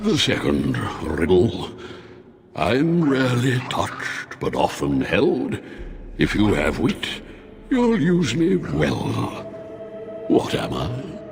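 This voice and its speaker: Putting on a character voice, a man talks at a very slow pace with long, frequent pauses over clear background noise. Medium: video game. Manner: languid, condescending.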